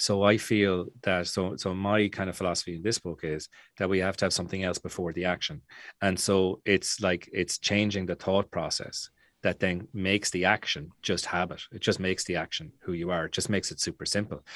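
With an Irish accent, a man speaks fairly quickly in a very deep, low pitch and monotone, flat intonation, recorded dry and close with no echo and a very clean, silent background. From Ireland. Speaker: author and business coach. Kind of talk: casual podcast interview.

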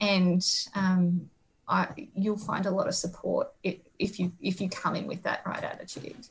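This woman's speech comes at a moderate pace with an Australian accent. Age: 30s. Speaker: agriculture careers researcher. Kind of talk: interview.

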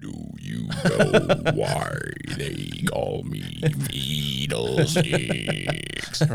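Against clear background noise, a man puts on a character voice and speaks at a very slow pace. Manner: menacing.

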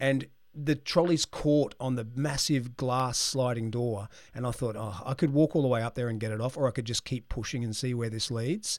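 On a very clean recording with a silent background, a man with an Australian accent speaks at a medium pitch and moderate pace with ordinary pitch variation. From Australia (Brisbane). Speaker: leadership consultant and podcast host. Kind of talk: interview conversation.

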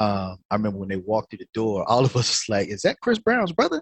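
Speaking in a North Carolina accent, a man moves at a fairly quick pace with lively intonation, his voice dry and close with no echo against a quiet background. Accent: Southern US, North Carolina. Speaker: musician and musical director. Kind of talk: casual interview storytelling.

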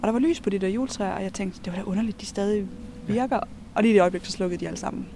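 A woman speaks at a very fast pace as noticeable background noise runs underneath. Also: medium pitch for a woman, ordinary pitch variation. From Denmark, near Kolding (southern Jutland). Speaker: co-explorer on a night walk. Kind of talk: casual chat while walking.

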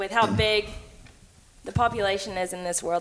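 At a moderate pace, a woman speaks at a medium pitch with fairly even intonation in a very clean recording with a silent background. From Texas (Cleveland, Texas). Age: 20s. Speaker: hunter and social media personality. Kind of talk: casual interview chat.

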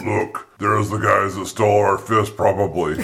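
Using a put-on character voice, a man speaks at a moderate pace in a fairly low pitch. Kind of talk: comic overacting. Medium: actual play. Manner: gruff, mock-solemn, dim.

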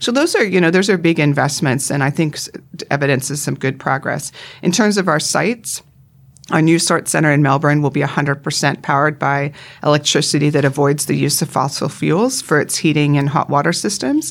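A woman with a Canadian accent speaks at a fairly quick pace in a very deep, low voice with ordinary pitch variation, on a very clean recording with a silent background. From Canada, Vancouver Island. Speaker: retail executive. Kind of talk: interview.

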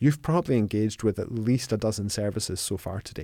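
A man with a Scottish accent speaks at a fairly quick pace in a fairly low, dark and mellow voice, on a very clean recording with a silent background. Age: 50s. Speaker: accounting firm co-founder. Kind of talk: interview. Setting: studio.

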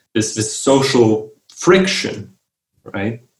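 A man with a Romanian accent speaks at a very slow pace, with audible echo in the room. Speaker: writer and researcher. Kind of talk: interview. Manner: halting, with frequent repetitions.

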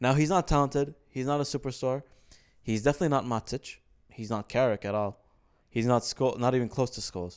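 Fairly quick speech with an Arabic accent, ordinary pitch variation, and a very clean recording over a silent background. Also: man, medium pitch for a man. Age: 20s. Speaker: podcast co-host. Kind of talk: casual chat.

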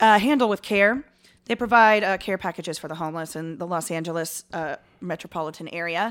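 A normal speaking voice with an American accent, ordinary pitch variation and big swings in loudness comes through on a very clean recording with a silent background. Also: woman, fairly low pitch for a woman, fairly quick pace. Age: 30s. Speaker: podcast co-host. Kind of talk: casual chat, comedic banter.

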